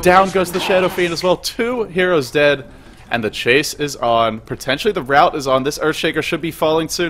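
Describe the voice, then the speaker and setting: A man's fairly quick, lively-intoned speech over noticeable background noise. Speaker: esports commentator. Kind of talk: live commentary. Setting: home at night, streaming. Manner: quiet, holding back volume; fast.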